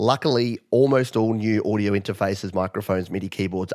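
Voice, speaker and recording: With an Australian accent, a man speaks at a moderate pace with ordinary pitch variation on a very clean recording with a silent background. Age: 40s. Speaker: music producer and YouTuber. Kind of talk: interview.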